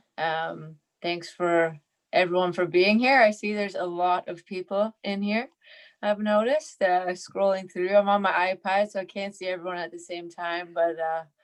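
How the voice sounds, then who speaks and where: A woman with a normal speaking voice talks at a moderate pace and medium pitch, her intonation fairly even. Her loudness swings widely against a quiet background. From Canada, Ontario. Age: 30s. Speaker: professional soccer goalkeeper. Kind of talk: interview answer.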